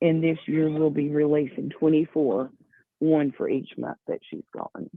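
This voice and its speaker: Her pitch is very deep and low. The woman talks at a fairly slow pace with fairly even intonation. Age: 50s. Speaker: event organizer. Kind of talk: interview. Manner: hesitant with fillers.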